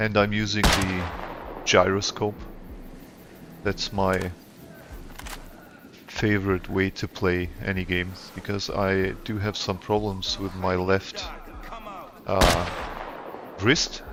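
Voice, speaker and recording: A man's fairly low voice, very slow and flat, with long, frequent pauses and noticeable background noise. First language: not English. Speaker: gaming streamer. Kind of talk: gameplay commentary. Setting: live stream. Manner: casual, halting with self-corrections.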